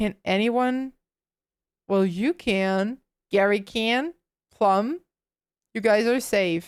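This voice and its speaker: At a very slow pace with long, frequent pauses, a woman with a fairly high pitch speaks with ordinary pitch variation and very even loudness, in a dry, close sound with no echo on a very clean recording with a silent background. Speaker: VTuber streamer. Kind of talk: live gaming stream chat. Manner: quiet.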